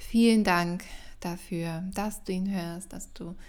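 With audible room echo, a woman speaks at a very slow pace in a medium pitch and a monotone, flat intonation. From Germany, Mönchengladbach (Lower Rhine). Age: 30s. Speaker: podcast host and coach. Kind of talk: casual solo monologue. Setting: at home.

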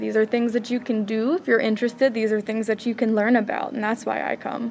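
At a fairly quick pace, a woman talks in an ordinary speaking voice with a fairly high pitch. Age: 20s. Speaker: college student. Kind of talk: casual interview.

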